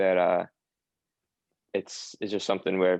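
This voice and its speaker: A man with a slight Long Island accent speaks at a fairly quick pace in a very deep, low pitch, his intonation monotone and flat and the sound dry and close with no echo. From US, New York (Long Island). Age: 20s. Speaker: footballer. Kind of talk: casual interview. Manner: filler-heavy, halting.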